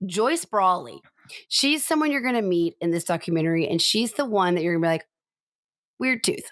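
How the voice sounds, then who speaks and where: Speaking at a fairly quick pace with an American accent, a woman of medium pitch sounds animated, swinging very widely in pitch and leaving long, frequent pauses, all on a very clean recording with a silent background. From US South. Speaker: podcast co-host. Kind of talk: casual chat. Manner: fast.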